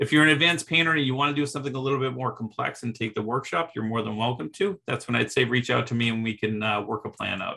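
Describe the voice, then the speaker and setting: Male speech in an American accent, at a medium pitch and a fairly quick pace, with ordinary pitch variation. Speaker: art teacher. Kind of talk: presentation. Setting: video call. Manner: casual, with fillers.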